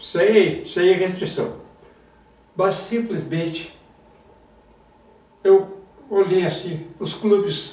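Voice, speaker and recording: Audible room echo surrounds a man with a high pitch who speaks at a very slow pace with long, frequent pauses. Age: 80s+. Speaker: former football federation president, author. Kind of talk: interview.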